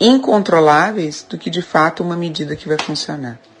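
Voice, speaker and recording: A woman speaks with a Gaúcho Brazilian accent. Her fairly low pitch has ordinary variation. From Rio Grande do Sul, Brazil. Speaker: listener commenter. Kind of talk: recorded listener message.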